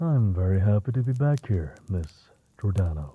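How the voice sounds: A man's put-on character voice, low in pitch and slightly husky at the edge, with a dark, mellow tone, big pitch swings and a moderate pace.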